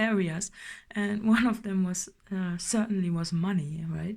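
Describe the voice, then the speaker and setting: A somewhat breathy woman's voice with fairly even intonation, on a very clean recording with a silent background. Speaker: tarot reader. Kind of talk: tarot reading. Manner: halting, many fillers.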